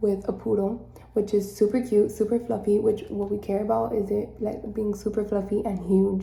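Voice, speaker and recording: Whispering at a moderate pace amid audible room echo. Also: woman. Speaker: vlogger. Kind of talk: casual vlog.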